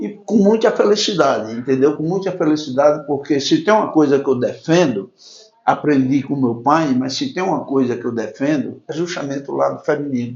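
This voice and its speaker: Audible room echo surrounds a man with a fairly high pitch who speaks at a moderate pace with lively intonation. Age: 70s. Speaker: radio host. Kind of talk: interview. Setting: councillor's office, web radio interview.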